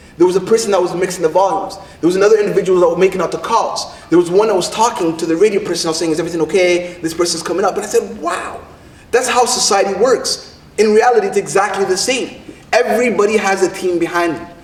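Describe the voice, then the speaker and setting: Over noticeable background noise, a man with a high pitch talks at a very fast pace in an animated tone. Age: 30s. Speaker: poet. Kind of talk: rally speech.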